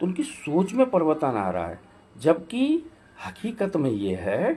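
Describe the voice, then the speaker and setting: This man's voice sits fairly high. It carries audible vocal fry. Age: 60s. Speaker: advocate and vlogger. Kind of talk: social commentary monologue. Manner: halting, with fillers.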